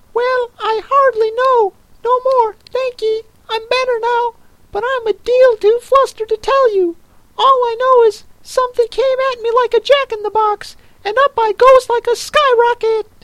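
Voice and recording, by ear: A squeaky, put-on character voice speaks at a moderate pace in an extremely high pitch.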